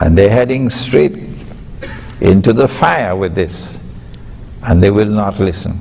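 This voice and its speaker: A man talks fairly slowly at a fairly low pitch with ordinary pitch variation and long, frequent pauses. Noticeable background noise and audible room echo are present. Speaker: Islamic scholar. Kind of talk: lecture. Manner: emphatic.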